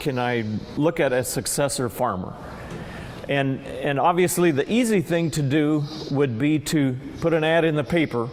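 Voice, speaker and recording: Over noticeable background noise, a man speaks at a moderate pace in a fairly high voice with ordinary pitch variation. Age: 60s. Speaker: farmer. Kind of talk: recorded interview. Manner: halting.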